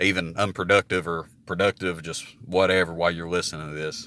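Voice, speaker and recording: A man speaks with a very deep, low pitch, vocal fry and a bright, sharp tone. His pitch varies in an ordinary way, and the recording is very clean with a silent background. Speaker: vlogger. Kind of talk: casual monologue. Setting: outdoors. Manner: loud.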